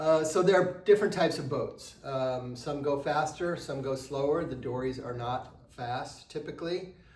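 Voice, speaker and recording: A man with a fairly high pitch talks at a moderate pace, with hardly any pauses and ordinary pitch variation. Noticeable background noise is present. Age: 60s. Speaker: travel vlogger sharing trip advice. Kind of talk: casual advice monologue. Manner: hesitant, many filler words.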